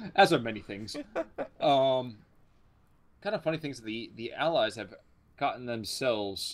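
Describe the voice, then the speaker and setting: With lively intonation and big swings in loudness, a man at medium pitch talks at a moderate pace broken by long, frequent pauses. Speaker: game caster. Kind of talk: casual game commentary.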